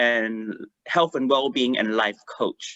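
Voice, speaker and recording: A fairly slow delivery in a Malaysian accent. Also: man. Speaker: life coach. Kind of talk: online panel introduction. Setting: video call. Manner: halting.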